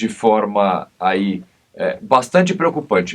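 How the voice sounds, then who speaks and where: A man speaks with very wide swings in pitch. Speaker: criminal lawyer and TV commentator. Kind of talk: TV interview.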